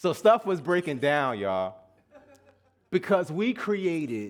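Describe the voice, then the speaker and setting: An animated man with a slight Southern US accent, his fairly high voice moving in very wide pitch swings. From US South (Atlanta) and New Jersey. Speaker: guest minister. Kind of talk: sermon. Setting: church service with congregation. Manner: animated, call-and-response.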